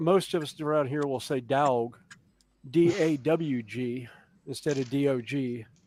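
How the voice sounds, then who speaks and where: Ordinary pitch variation from a man speaking at a fairly slow pace. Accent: strong Southern US. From US South, South Carolina (Columbia). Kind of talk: casual chat.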